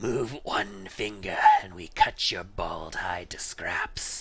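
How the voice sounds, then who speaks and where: Using a raspy, low-pitched put-on character voice at a very slow pace, the speaker is heard over light background noise. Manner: threatening.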